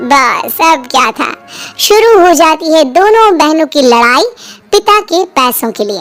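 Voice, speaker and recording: Faint music plays behind a woman whose pitch is extremely high as she speaks at a fairly slow pace. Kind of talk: bedtime story narration. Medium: audio drama. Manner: steady, expressive.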